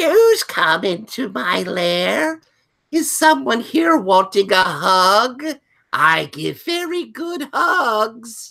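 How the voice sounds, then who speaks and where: This put-on character voice sits at a fairly high pitch with very wide pitch swings. The pace is very slow. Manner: creepy, sweetly menacing.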